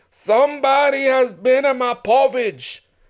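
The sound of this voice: Slowly, a man puts on a character voice at an extremely high pitch.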